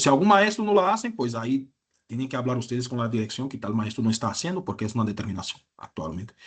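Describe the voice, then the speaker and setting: With a Brazilian accent, a man talks at a medium pitch in a somewhat breathy voice with lively intonation. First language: Portuguese (speaking Spanish). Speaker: university lecturer. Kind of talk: lecture. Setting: online class.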